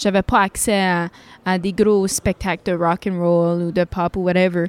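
The voice has fairly even intonation and a dry, close sound with no echo. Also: woman. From Sudbury, northern Ontario. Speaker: singer-songwriter. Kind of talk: interview.

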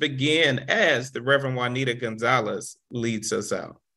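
Against a quiet background, a man speaks at a very slow pace in a bright, sharp tone. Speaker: prayer facilitator and minister. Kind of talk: group prayer, intercessory.

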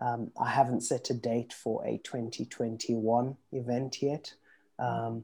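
A man speaks very slowly in a monotone, flat intonation at a medium pitch. His tone is dark and mellow, and somewhat breathy. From Zimbabwe. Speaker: guest speaker. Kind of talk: casual chat.

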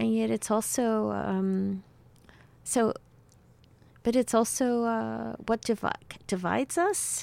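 A woman with a New York accent speaks at a very slow pace. She takes long, frequent pauses. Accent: New York American. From New York City (Cuban-born). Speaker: novelist. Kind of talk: interview. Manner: halting, many fillers.

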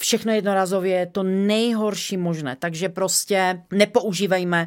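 A woman's unremarkable speaking voice at medium pitch, moderate pace and fairly even intonation. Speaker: company co-founder. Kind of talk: interview.

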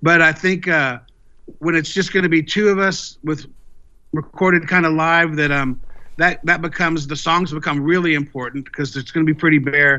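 This man talks at a moderate pace in a Texan accent, his fairly high pitch held to a fairly even intonation. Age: 50s. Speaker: blues guitarist and singer-songwriter. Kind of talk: interview.

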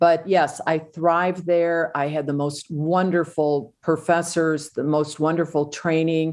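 The speech moves at a fairly slow pace with hardly any pauses and monotone, flat intonation against a quiet background. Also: woman, fairly low pitch for a woman. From US Midwest, small-town Illinois. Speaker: radiation oncologist and health coach. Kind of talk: interview.

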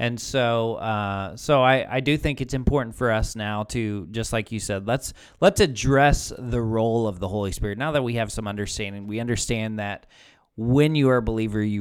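Over a silent background on a very clean recording, a man with an unremarkable speaking voice talks at a fairly quick pace, medium in pitch with ordinary pitch variation. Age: 30s. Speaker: pastor. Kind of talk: casual podcast chat about faith.

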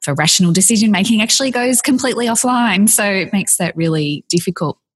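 Very fast, lively speech from a woman with an Australian accent. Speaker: podcast host. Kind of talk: interview.

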